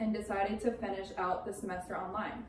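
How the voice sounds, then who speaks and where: A woman's fairly even intonation and moderate pace come through noticeable background noise and audible echo from the room. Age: 20s. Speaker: college student. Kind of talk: class speech.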